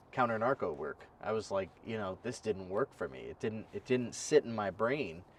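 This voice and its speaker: A plain, everyday voice keeps a moderate pace with ordinary pitch variation. There are big swings in loudness and hardly any pauses. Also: man, fairly low pitch for a man. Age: 30s. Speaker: podcast host, military veteran. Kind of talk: casual interview chat.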